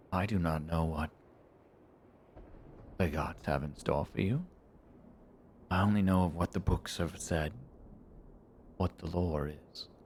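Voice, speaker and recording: A man puts on a character voice with a very deep, low pitch, moving at a moderate pace with long, frequent pauses. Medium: actual play. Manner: formal, measured.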